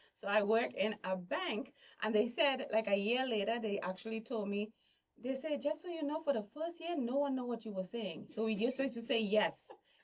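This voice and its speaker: A woman with a Trinidadian accent talks at a moderate pace. Her pitch is fairly high and her intonation lively. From Trinidad and Tobago. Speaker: motivational speaker and entertainer. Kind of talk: casual chat.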